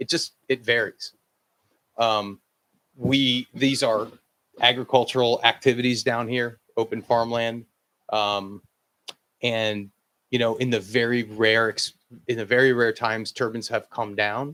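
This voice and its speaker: Loud and bright with a sharp tone, a man of medium pitch speaks fairly slowly in a flat monotone, leaving long, frequent pauses, the sound dry and close with no echo. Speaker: wind energy developer. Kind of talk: presentation to town board.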